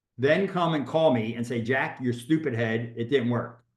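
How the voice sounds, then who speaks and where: A man speaks moderately fast with ordinary pitch variation, his voice carrying audible room echo. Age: 60s. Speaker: real estate agent and coach. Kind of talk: workshop talk. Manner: halting.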